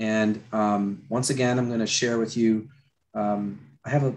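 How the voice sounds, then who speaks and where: Over a quiet background, a man with an American accent talks at a fairly slow pace. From Florida. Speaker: concept artist and attraction designer. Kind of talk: live drawing tutorial; lecture. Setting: video call.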